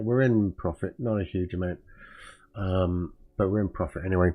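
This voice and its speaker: With a British accent, a man speaks at a fairly low pitch and a fairly slow pace, his pitch varying in an ordinary way while music plays in the background. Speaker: trading streamer. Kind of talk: live trading stream commentary. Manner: halting, many fillers.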